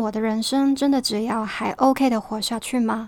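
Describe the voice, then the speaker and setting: The speaker has a Hong Kong accent. The intonation stays fairly even. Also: woman. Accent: Hong Kong-accented Mandarin. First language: Cantonese (speaking Chinese). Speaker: podcast host. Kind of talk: scripted podcast monologue.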